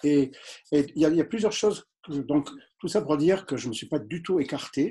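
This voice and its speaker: A man with a Marseille accent speaks at a moderate pace in a fairly high pitch, with a dark, mellow tone and ordinary pitch variation. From southern France. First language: English (speaking French). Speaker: doctor. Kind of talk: interview. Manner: hesitant, many fillers.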